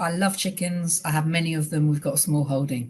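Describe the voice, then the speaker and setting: A woman's somewhat breathy voice comes through over a quiet background. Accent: British. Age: 50s. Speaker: charity director. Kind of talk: presentation. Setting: webinar. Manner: fast.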